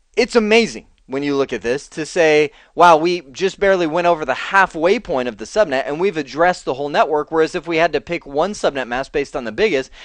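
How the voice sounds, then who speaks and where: Against a quiet background, a man talks very fast in a fairly high pitch with lively intonation. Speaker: networking instructor. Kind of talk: tutorial. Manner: casual, conversational.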